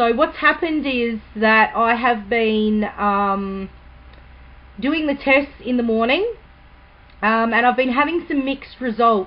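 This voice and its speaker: Delivery comes at a fairly slow rate. The pitch shifts only as much as is ordinary. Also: woman, high pitch for a woman. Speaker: vlogger. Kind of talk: casual vlog update. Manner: naturally quiet, trying to speak louder; hesitant, many ums.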